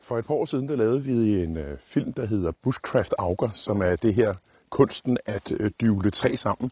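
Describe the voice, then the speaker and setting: A man talks at a fairly slow pace with lively intonation. His voice is somewhat breathy. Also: medium pitch for a man, very clean recording, silent background. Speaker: outdoor YouTuber, scout. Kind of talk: vlog monologue. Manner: hesitant, many filler sounds.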